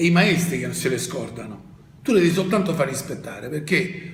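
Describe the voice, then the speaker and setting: Noticeable background noise and audible room echo sit behind this man. His pitch is high, with ordinary variation. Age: 70s. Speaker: tennis coach. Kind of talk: interview. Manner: animated.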